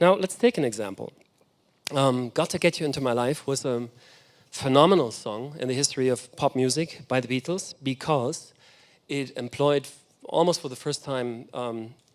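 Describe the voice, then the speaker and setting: With music playing in the background, a man speaks at a moderate pace in a German accent, his pitch varying in an ordinary way. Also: medium pitch for a man. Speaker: architecture critic and lecturer. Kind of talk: lecture. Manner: halting, many fillers and restarts.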